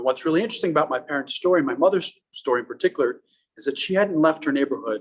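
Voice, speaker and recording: Very fast and with lively intonation, a man speaks in an Iranian accent at a fairly high pitch. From Afghanistan, Pakistan and the USA. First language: Farsi. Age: 30s. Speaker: public speaker. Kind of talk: talk to a live audience. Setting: art gallery with live audience.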